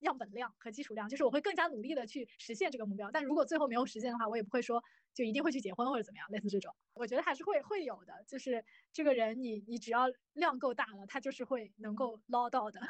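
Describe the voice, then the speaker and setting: At a very fast pace, a woman talks with a high pitch, lively intonation and big swings in loudness. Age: 20s. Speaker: guest sharing blind-date experiences. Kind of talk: casual chat.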